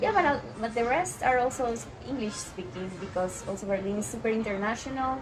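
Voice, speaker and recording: A woman at a fairly high pitch with lively intonation and a fairly quick pace, plus audible room echo and music in the background. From Colombia. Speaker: immigrant friend. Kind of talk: casual chat.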